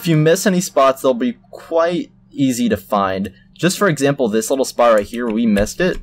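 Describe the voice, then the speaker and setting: Over music in the background, a man at a medium pitch talks at a moderate pace with very wide pitch swings and hardly any pauses. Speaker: tutorial youtuber. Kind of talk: tutorial. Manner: halting, many fillers; casual.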